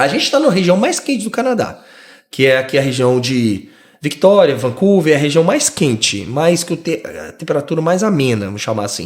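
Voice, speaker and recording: A man talks at a moderate pace with vocal fry. His fairly high voice makes very wide pitch swings. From Brazil, Rio de Janeiro. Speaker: immigrant podcast guest. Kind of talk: casual interview chat.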